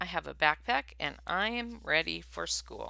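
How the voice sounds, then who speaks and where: In a put-on character voice, a man sounds raspy at a moderate pace. The recording is very clean and the background silent. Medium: read story.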